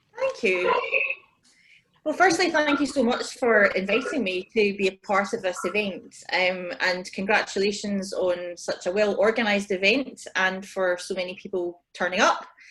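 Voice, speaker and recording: A woman with a medium pitch talks at a moderate speed, her intonation lively. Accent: Scottish. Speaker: business panelist. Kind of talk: panel discussion. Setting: video call.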